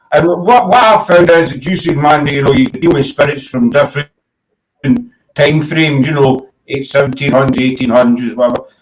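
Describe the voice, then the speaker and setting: With a strong Glasgow accent, a man talks at a fairly quick pace. His voice is fairly high in pitch and somewhat breathy. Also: ordinary pitch variation. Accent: strong Glasgow Scottish. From Scotland, Glasgow. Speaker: paranormal talk show host. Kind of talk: casual chat. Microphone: static, cutting in and out.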